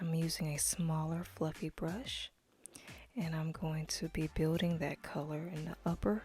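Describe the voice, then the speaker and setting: The speech moves at a fairly slow pace. The voice is somewhat breathy. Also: woman. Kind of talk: makeup tutorial talking to camera. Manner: instructional, casual, friendly.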